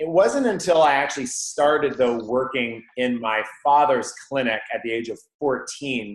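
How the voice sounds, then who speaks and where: An energetic tone at a moderate pace, with a Canadian accent and ordinary pitch variation. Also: man. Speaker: chiropractor. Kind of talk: interview.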